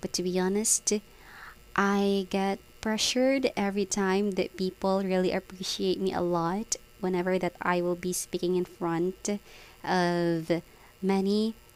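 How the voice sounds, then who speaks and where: A woman speaks with a Filipino accent. Her pace is fairly slow and her intonation monotone and flat. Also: medium pitch for a woman, very even loudness. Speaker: vlogger, call center worker. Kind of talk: casual vlog monologue. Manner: hesitant with many fillers.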